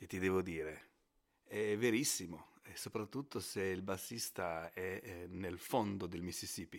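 Big swings in loudness mark a man's very deep, low voice. He speaks at a fairly slow pace with ordinary pitch variation. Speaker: bass player. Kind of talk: recorded testimony.

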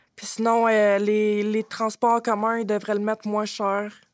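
In a very clean recording with a silent background and a dry, close sound with no echo, a woman talks at a medium pitch and a fairly slow pace. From Quebec, Drummondville. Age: 20s. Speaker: former shelter resident, youth spokesperson. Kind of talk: round-table discussion.

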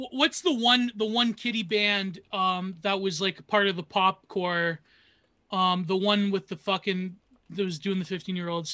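Raised and projected, a man's high-pitched voice with a bright, sharp tone and a Canadian accent moves at a fairly slow pace with ordinary pitch variation, in a dry, close sound with no echo. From Canada, Niagara region. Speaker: comedy podcaster. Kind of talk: casual chat.

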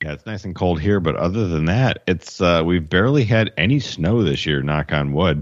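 A man with an American accent speaks at a moderate pace with hardly any pauses. His very deep, low pitch carries lively intonation. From Detroit. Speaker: podcast co-host.

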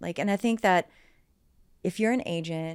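On a very clean recording with a silent background, a woman talks at a moderate pace in an unremarkable speaking voice, her pitch varying in an ordinary way. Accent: American. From US South, southern West Virginia. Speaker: real estate agent. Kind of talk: interview.

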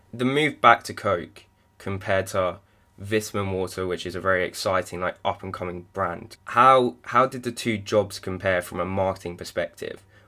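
A man with a British accent speaks at a fairly low pitch and a moderate pace with ordinary pitch variation, in a very clean recording with a silent background. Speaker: podcast co-host. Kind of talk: interview.

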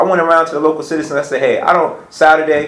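With an American accent, a man speaks at a very fast pace. Noticeable background noise runs underneath. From Petersburg, Virginia. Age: 20s. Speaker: small business owner. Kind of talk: roundtable discussion.

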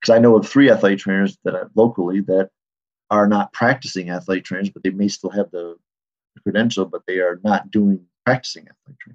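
A man with an American accent and a plain, everyday voice talks at a fairly quick pace, his fairly low pitch carried by fairly even intonation. His loudness swings a lot, and the sound is dry and close with no echo. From Michigan. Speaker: athletic trainer. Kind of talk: interview conversation.

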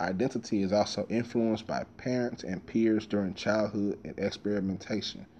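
Here a man talks at a moderate pace in a fairly low pitch. His tone is dark and mellow, with ordinary pitch variation. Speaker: podcast host. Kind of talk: casual monologue. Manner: casual, profane, opinionated.

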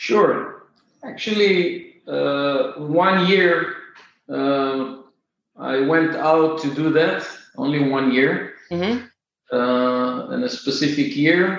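Someone with an Israeli accent talks at a very slow pace with lively intonation, with audible room echo. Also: man, fairly high pitch for a man. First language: Hebrew. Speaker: software company founder and CEO. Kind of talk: interview. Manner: halting, many filler uhs.

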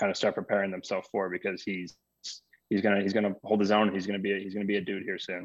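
Over a quiet background, a man with an American accent talks very fast at a fairly low pitch in a monotone, flat intonation. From Arizona. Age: 20s. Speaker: baseball manager. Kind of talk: interview.

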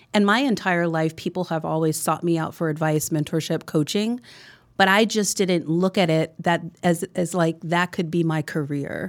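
On a very clean recording with a silent background, a woman with an American accent has an ordinary speaking voice. She talks at a moderate pace, her fairly low pitch showing ordinary variation. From New Jersey, US. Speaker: business coach. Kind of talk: interview.

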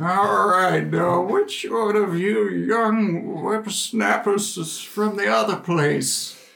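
In a put-on character voice, a man talks very slowly at a high pitch with hardly any pauses, and an echo is audible. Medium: actual play. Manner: folksy, rambling, grandfatherly.

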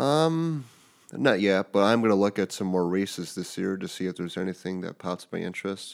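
With an American accent and lively intonation, the speaker moves at a fairly quick pace on a very clean recording with a silent background. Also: man, fairly low pitch for a man. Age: 20s. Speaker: amateur runner, son of host. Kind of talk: casual interview.

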